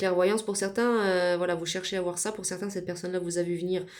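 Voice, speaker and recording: The recording is very clean and the background silent. Words come out at a very fast clip. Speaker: tarot card reader. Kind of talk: tarot reading.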